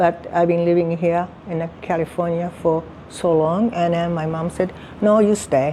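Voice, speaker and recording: Over noticeable background noise, a woman speaks fairly slowly with monotone, flat intonation. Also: fairly low pitch for a woman. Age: old. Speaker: family elder sharing memories. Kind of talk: casual family conversation. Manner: halting.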